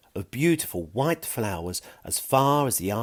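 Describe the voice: What we hear is plain reading aloud.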